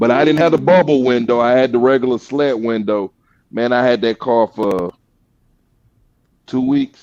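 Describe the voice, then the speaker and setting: A man with an American accent, ordinary pitch variation, long and frequent pauses, and a dry, close sound with no echo. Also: medium pitch for a man, moderate pace. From US South, Georgia. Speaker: car builder. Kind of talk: casual chat.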